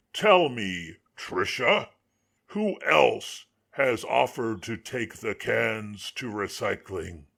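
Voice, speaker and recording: A man does a put-on character voice, raspy and at medium pitch. He speaks at a very slow pace. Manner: cold, condescending.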